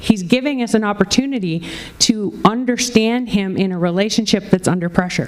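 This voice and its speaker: With noticeable background noise behind her, a woman talks at a moderate pace with ordinary pitch variation. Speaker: pastor. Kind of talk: sermon preached to a congregation.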